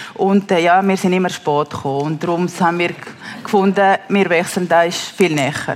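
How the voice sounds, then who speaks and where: Over noticeable background noise, a woman with a Spanish accent speaks at a moderate pace, her pitch fairly low and her intonation fairly even. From Peru, Lima. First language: Spanish (speaking German). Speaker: mother telling her life story. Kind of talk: testimony interview. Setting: stage with live audience. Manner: halting, many fillers.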